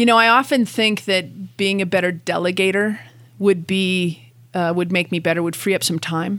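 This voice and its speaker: A normal speaking voice: a woman with a Canadian accent, medium pitch and a moderate pace, fairly even intonation, on a very clean recording with a silent background. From Canada. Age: 50s. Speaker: gym owner and general manager. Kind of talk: interview.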